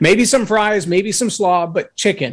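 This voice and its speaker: A man with lively intonation. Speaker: leadership speaker and coach. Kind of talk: interview testimony.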